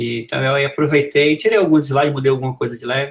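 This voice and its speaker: A man talks at a very fast pace, his voice somewhat breathy. His intonation stays fairly even. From Brazil, Amazonas. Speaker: professor. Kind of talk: lecture.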